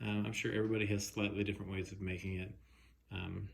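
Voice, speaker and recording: Audible room echo carries a man's fairly low voice. It sounds somewhat breathy. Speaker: woodworking hobbyist. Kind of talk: casual video commentary. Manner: halting, many fillers.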